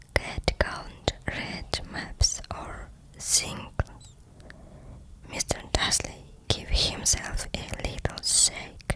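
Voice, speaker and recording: Whispered speech from a woman, very slow, broken by long, frequent pauses, amid noticeable background noise. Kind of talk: ASMR roleplay reading of a book passage. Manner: whispered, soft-spoken.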